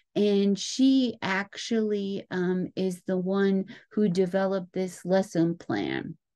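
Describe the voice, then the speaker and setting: The voice has a dark, mellow tone. It moves at a very slow pace. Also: woman. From Alabama. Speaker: professor. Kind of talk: lecture. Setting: screen-share video recording. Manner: halting, many fillers.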